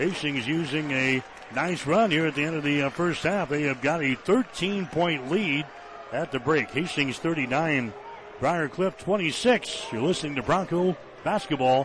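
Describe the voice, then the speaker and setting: A man with an American accent, fairly high-pitched, at a fairly slow pace with ordinary pitch variation, over noticeable background noise. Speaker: radio play-by-play announcer. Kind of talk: live radio basketball play-by-play, brisk running call of each possession. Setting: courtside broadcast booth at arena. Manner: rises with excitement on made baskets and runs.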